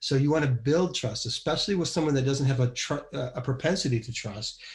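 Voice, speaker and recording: This somewhat breathy voice talks at a very fast pace with ordinary pitch variation. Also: man, fairly high pitch for a man. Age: 60s. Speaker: business leader and podcast co-host. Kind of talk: casual chat.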